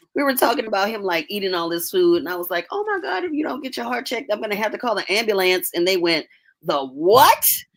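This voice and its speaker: A woman with an American accent speaks very fast at a fairly high pitch. Her pitch swings very widely. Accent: Southern US, comes out when excited. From US South. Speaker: podcast co-host. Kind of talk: casual chat.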